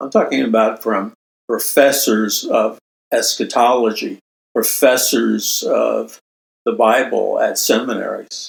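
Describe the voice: A man speaks slowly in an American accent, with vocal fry and a slightly husky edge. His pitch is fairly low and his intonation fairly even.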